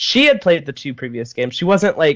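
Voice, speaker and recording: Talking fairly quickly with ordinary pitch variation, a man uses a plain, everyday voice. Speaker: YouTuber. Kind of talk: casual chat.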